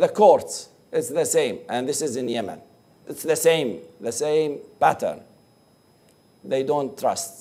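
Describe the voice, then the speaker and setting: A man speaks with an Arabic accent at a very slow pace. Long, frequent pauses break up his speech. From Iraq. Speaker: pollster and academic researcher. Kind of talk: presentation. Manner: halting.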